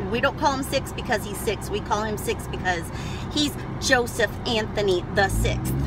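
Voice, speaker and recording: Over loud background noise, a woman speaks at a moderate pace with a dry sound and no echo. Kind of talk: casual vlog chat. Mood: cheerful, laughing. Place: car. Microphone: phone near.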